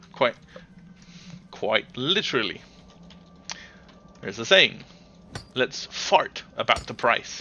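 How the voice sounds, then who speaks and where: A man with a Danish accent speaks at a very slow pace. Long pauses come often. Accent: Danish accent, speaks it proudly. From Denmark. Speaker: gaming livestreamer. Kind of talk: casual chat. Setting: live stream. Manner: halting.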